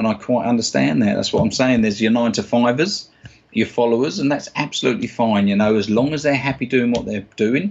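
A man with a South London accent speaks at a fairly quick pace with ordinary pitch variation. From South East London, England. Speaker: stage and clinical hypnotist. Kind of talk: interview answer. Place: office. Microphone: webcam.

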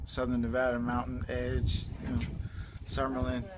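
A man talks at a moderate pace as noticeable background noise plays underneath. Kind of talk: casual spoken commentary while filming. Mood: puzzled, curious. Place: street. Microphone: phone near.

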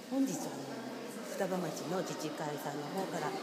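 Music plays in the background as a woman talks at a moderate pace. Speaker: hula dance instructor. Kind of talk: interview answer. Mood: calm, sincere. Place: hall. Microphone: phone near.

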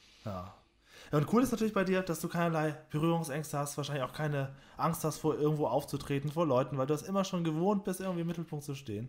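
Very fast speech comes from a man with a fairly high pitch. His pitch varies in an ordinary way. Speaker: podcast host. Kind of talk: interview. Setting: his own home. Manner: announcer-like.

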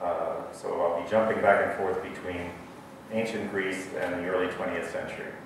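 Through strong room echo and noticeable background noise, a man speaks at a moderate pace. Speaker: mathematics professor. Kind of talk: lecture. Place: hall.

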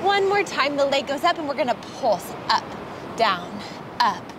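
The sound is dry with no echo as a woman speaks at a high pitch over noticeable background noise. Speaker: fitness instructor. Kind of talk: workout instruction. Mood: calm, encouraging.

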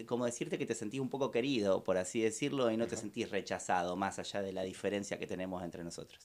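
Speaking very fast with hardly any pauses, a man talks in a Rioplatense accent. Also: fairly low pitch for a man, ordinary pitch variation. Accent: Argentine Spanish (rioplatense). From Argentina. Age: young. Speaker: restaurant owner; guest. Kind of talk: interview. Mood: grateful, warm. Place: studio. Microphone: studio mic.

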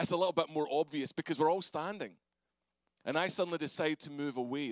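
A man with a Scottish accent, fairly high-pitched, at a very fast pace with ordinary pitch variation, in a dry sound with no echo over a quiet background. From Scotland. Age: 40s. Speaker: pastor. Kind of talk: sermon. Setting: church. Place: church. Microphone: handheld.

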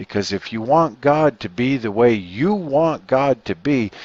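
In a dry, close sound with no echo, a man speaks at a slow pace.

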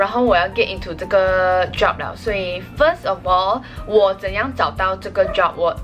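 A woman speaks at a fairly slow pace with clear music playing in the background. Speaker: vlogger. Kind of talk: casual vlog chat. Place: home room. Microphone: phone near.

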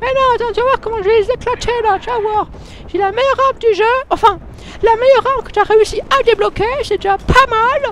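A put-on character voice, pitched extremely high and moving at a fairly quick pace. Background noise is clearly heard. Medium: solo performance. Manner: brash, insulting.

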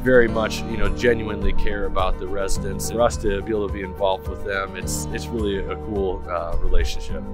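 A man at a very fast pace with hardly any pauses, clear music in the background. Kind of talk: casual ride-along commentary. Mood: friendly, proud. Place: car.

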